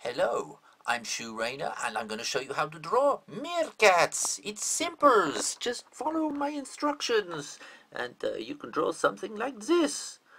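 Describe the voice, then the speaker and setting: A man in a put-on character voice, high-pitched, at a moderate pace, with big swings in loudness. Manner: mock.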